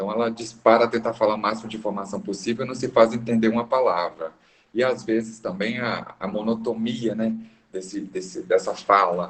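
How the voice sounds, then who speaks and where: Moving at a fairly quick pace, a man talks in a medium pitch with fairly even intonation. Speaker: business consultant. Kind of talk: lecture. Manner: varies pitch to keep attention.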